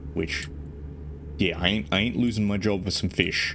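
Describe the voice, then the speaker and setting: An Australian-accented man talks at a fairly quick pace. His intonation stays fairly even. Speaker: VTuber streamer. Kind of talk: casual chat. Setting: live stream while playing a truck game. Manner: halting, many repetitions.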